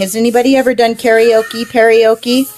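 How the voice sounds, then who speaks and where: Over noticeable background noise, a woman with an American accent speaks in an animated tone. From US Pacific Northwest. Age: 40s. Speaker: art livestreamer. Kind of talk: casual livestream chat while drawing. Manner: chatty, animated.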